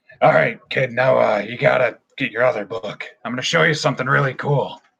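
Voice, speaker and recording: A raspy put-on character voice from a man at a medium pitch and fairly quick pace. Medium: actual play. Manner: casual, rambling, halting.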